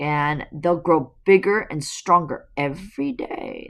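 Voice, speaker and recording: Growling in a put-on character voice at a middle pitch, the speaker goes at a fairly slow pace. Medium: read story.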